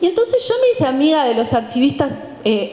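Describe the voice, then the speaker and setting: A woman's voice with audible room echo. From Uruguay. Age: 40s. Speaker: historian and university lecturer; panelist. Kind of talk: book presentation talk. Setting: event with live audience. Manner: halting, many fillers and repetitions. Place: stage. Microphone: handheld.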